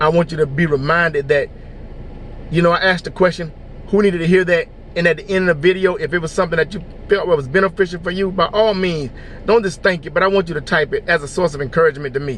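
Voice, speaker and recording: Over noticeable background noise, a man talks at a very fast pace with a high pitch and fairly even intonation. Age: 50s. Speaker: motivational vlogger. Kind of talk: inspirational talk.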